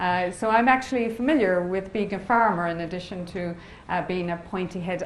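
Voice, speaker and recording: Someone with an Irish accent speaks at a fairly quick pace with ordinary pitch variation, and the room echo is audible. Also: woman. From Ireland, west coast. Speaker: biotechnology professor. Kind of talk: lecture.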